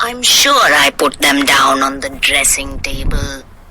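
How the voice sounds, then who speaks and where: Someone performs a put-on character voice at a fairly slow pace over clear background noise. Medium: read story. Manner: grumbling.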